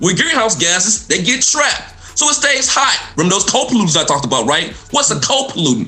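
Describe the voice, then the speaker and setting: Over music in the background and audible room echo, a man with a high pitch and a Southern US accent talks at a very fast pace in an animated tone with very wide pitch swings. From Mississippi, US South. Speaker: environmental health professor. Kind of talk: radio talk show interview.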